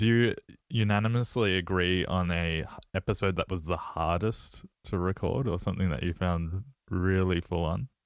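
A man's voice is very deep and low, with ordinary pitch variation. He speaks at a moderate pace with very even loudness. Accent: Australian. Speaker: podcast host. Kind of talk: interview.

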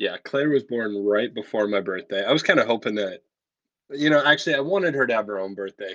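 Over a quiet background, a man talks at a very fast pace and medium pitch with lively intonation. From Canada, Ontario. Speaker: pastor and podcast co-host. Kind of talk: casual chat.

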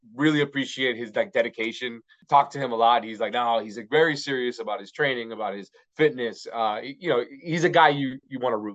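An ordinary speaking voice comes through with an American accent. Its loudness swings widely. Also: man, medium pitch for a man, ordinary pitch variation, fairly quick pace. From Miami, Florida. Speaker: bilingual sports broadcaster and commentator. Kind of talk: casual interview.

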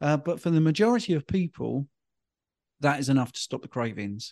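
A man with an English accent speaks at a fairly quick pace with a fairly high pitch and a dark, mellow tone. The sound is dry and close with no echo, against a quiet background. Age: 50s. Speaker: health and diet coach. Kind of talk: interview.

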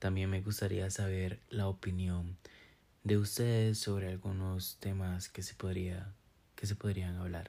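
Somewhat breathy and very deep, a man's voice has a dark, mellow tone and monotone, flat intonation at a fairly slow pace. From Costa Rica, San Carlos. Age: 20s. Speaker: podcast host. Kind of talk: casual monologue. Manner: hesitant, many fillers.

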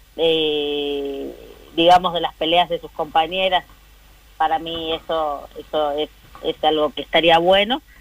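This woman's fairly low voice moves at a fairly slow pace, her intonation fairly even while her loudness swings widely. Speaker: politician. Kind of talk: interview. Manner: halting.

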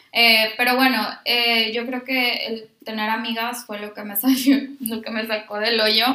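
Amid noticeable background noise, a woman with a fairly high pitch speaks at a fairly slow pace in a monotone, flat intonation, her loudness swinging widely. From Mexico, Monterrey. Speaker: speech pathology student, former au pair. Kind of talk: casual chat. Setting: shared microphones in one room.

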